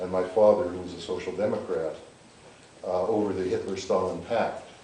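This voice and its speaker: Amid noticeable background noise and audible room echo, a man with a Canadian accent and a very deep, low pitch speaks at a moderate pace in monotone, flat intonation. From Canada, North Winnipeg. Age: 60s. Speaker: political scientist. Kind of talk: public interview.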